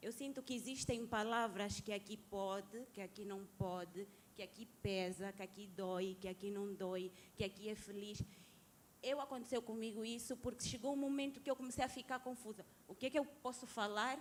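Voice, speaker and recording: The delivery keeps a moderate pace. Pitch variation stays ordinary. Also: woman, fairly high pitch for a woman. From Angola. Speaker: audience member. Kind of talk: audience question. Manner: halting.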